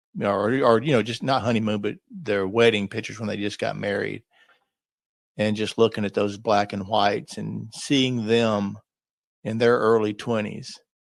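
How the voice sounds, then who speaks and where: A man with a plain, everyday voice talks at a moderate pace. His pitch is fairly low and his intonation fairly even. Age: 60s. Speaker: lifestyle vlogger. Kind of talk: solo podcast reflection. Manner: casual conversational.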